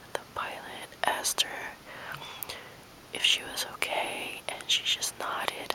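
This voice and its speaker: Relaxed whispering over noticeable background noise. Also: woman. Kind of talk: whispered ASMR talk to camera. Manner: whispered, soft, relaxed.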